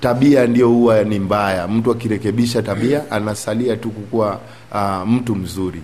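A man talks at a moderate pace with a medium pitch. It is a plain, everyday voice. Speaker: community group chairman, former gang member. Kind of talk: interview testimony.

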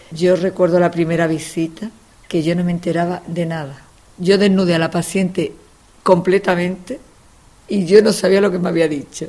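This woman has a plain, everyday voice, fairly low in pitch, moving at a moderate pace with fairly even intonation. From Andalusia, Spain. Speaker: family doctor. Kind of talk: interview.

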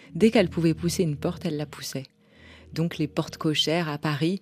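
A woman speaks with vocal fry and ordinary pitch variation. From France. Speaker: novelist and editor. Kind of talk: interview.

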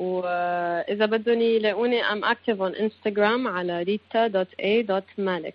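Speaking very slowly with hardly any pauses, a woman keeps her medium-pitched voice at a fairly even intonation. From Lebanon. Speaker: singer-songwriter. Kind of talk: interview.

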